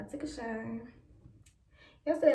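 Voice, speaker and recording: A woman speaks in an American accent against noticeable background noise. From Chicago, Illinois. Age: 20s. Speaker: beauty vlogger. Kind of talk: casual talk to camera. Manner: casual, chatty.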